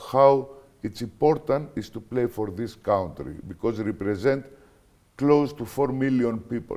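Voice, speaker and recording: With a Greek accent, a man speaks at medium pitch in a dark, mellow tone, using ordinary pitch variation at a fairly slow pace. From Greece. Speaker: basketball coach. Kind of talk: interview. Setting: studio. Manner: halting.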